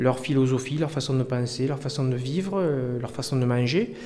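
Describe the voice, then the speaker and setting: Fairly even intonation marks a man's speech, which has audible room echo around it. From France, Lozère. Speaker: chef. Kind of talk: casual interview over dinner.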